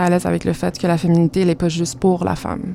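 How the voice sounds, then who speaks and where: Amid noticeable background noise, a woman speaks in a fairly low pitch with monotone, flat intonation. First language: Spanish (speaking French). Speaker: visual artist. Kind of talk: interview.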